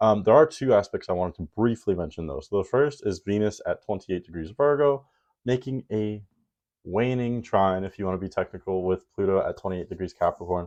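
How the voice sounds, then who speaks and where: Over a quiet background, a man speaks in a normal speaking voice at a fairly low pitch. His pace is fairly quick, with ordinary pitch variation. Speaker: astrologer. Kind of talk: weekly astrology forecast talk.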